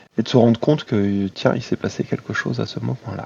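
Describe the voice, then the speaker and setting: In a dry, close recording with no echo, a man talks at a medium pitch with a dark, mellow tone. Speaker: tabletop role-playing gamer. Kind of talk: casual chat.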